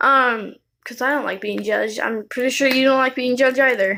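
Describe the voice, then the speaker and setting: Here a woman talks at a moderate pace in a high pitch with a bright, sharp tone. Her intonation stays fairly even. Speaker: video blogger. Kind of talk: personal vlog monologue. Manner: halting.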